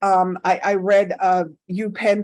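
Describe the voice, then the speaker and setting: This woman speaks with a Caribbean accent. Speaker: career expert and workshop speaker. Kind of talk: workshop talk. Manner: conversational, with fillers.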